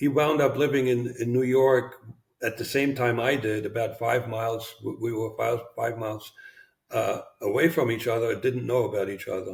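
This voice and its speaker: A somewhat breathy man's voice with a slight German accent, medium pitch, fairly even intonation and a moderate pace. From East Germany. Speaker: former spy. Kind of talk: interview. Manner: halting.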